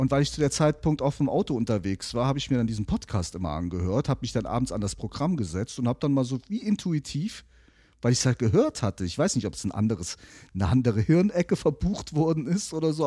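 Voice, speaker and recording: On a very clean recording with a silent background, a man with a medium pitch and a dark, mellow tone speaks at a very fast pace with very wide pitch swings. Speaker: podcast producer and media agency owner. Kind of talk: casual chat.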